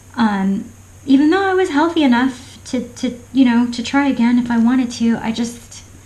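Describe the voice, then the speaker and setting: In an American accent, a woman with a high-pitched voice and ordinary pitch variation speaks at a moderate pace, with audible room echo and noticeable background noise. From Florida. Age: 40s. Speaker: craft vlogger. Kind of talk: casual chat. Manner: halting.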